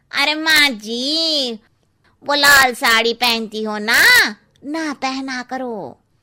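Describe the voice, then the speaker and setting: In a cartoonish character voice, a woman speaks at a very slow pace with a high pitch and ordinary pitch variation. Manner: cheeky, gossipy.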